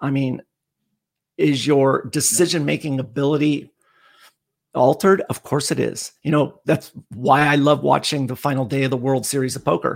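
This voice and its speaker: On a very clean recording with a silent background, a man with a fairly high pitch speaks at a moderate pace, using ordinary pitch variation and long, frequent pauses. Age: 50s. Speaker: endurance coach. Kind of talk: casual chat. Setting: live stream.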